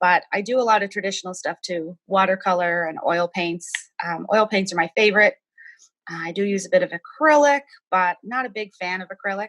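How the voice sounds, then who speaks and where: With a Cape Breton accent, a woman speaks at a medium pitch. Her pace is fairly quick. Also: ordinary pitch variation, dry, close sound with no echo. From Cape Breton, Nova Scotia (North Sydney). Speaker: artist. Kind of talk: casual interview.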